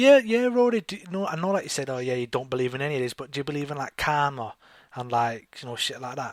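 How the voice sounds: Fast-paced male speech at medium pitch, with ordinary pitch variation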